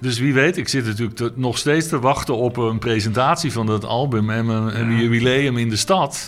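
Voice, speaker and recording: Against noticeable background noise, a man speaks at a medium pitch and a moderate pace. He uses ordinary pitch variation and hardly any pauses. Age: 60s. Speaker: jazz saxophonist. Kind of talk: interview. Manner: halting.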